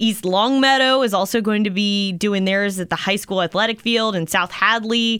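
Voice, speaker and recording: A woman with an ordinary speaking voice talks at a moderate pace in a medium pitch, with fairly even intonation. Her loudness stays very even and she uses hardly any pauses. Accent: American. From Maryland. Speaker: radio host. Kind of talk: casual chat.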